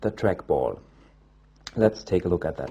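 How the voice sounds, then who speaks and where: A man with a non-native accent has a dark, mellow tone and lively intonation. Vocal fry runs through his voice. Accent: non-native English speaker. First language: German. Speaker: tech reviewer. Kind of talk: product review. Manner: halting.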